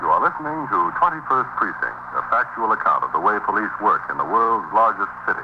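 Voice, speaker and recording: A man talks at a fairly quick pace with very even loudness over noticeable background noise. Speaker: radio announcer. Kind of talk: announcer reading show intro and credits, formal and crisp. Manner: authoritative, measured, formal.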